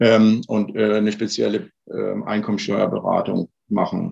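A man's medium-pitched voice proceeds at a very slow pace. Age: 50s. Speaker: tax advisor. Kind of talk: interview.

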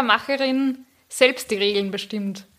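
A woman in an Upper Austrian accent with a bright, sharp tone, a very slow pace and ordinary pitch variation. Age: young. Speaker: podcaster and PR consultant. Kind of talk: casual interview chat.

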